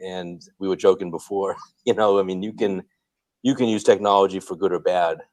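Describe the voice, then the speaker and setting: A man speaks with an American accent. His pitch is fairly low and his pace moderate. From Boston, Massachusetts. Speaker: Dunkin' franchise owner and real estate investor. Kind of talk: podcast interview. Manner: relaxed, many fillers.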